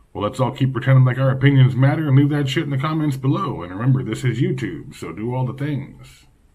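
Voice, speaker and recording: Speaking at a very fast pace, a man leaves hardly any pauses. His pitch variation is ordinary. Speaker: video creator, political commentator. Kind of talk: casual political rant to camera, then a rhetorical pep talk. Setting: home video, self-recorded. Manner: profane and brash, self-mocking, punchy; pep-talk stretch: rising, fiery, declamatory, alliterative, defiant. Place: home room. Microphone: phone near.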